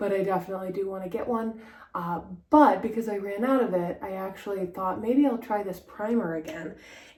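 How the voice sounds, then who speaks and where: A soft-spoken woman talks at a fairly quick pace in a medium pitch with ordinary pitch variation, with audible room echo and noticeable background noise. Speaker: style vlogger. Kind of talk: casual vlog talk. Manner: hesitant, many fillers.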